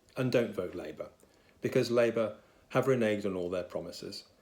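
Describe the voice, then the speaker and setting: Speaking fairly quickly, a man with an English accent uses lively intonation at a medium pitch. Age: 60s. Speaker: solicitor, political supporter. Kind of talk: political appeal to camera.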